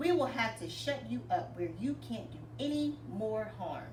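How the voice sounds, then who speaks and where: A woman speaks in a put-on character voice at a moderate pace. Loud background noise runs underneath. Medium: read story. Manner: loud, urgent.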